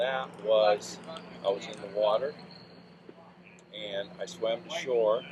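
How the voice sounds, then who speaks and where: A man talks fairly slowly with an American accent, with noticeable background noise around him. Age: 70s. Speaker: retired resort owner. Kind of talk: interview. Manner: halting.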